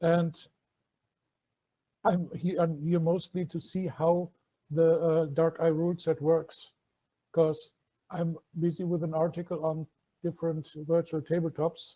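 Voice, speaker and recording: Speaking in a German accent, a man talks at a fairly slow pace with long, frequent pauses, at a high pitch, with a dark, mellow tone and monotone, flat intonation. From Germany. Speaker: tabletop roleplaying player and writer. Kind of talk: casual self-introduction.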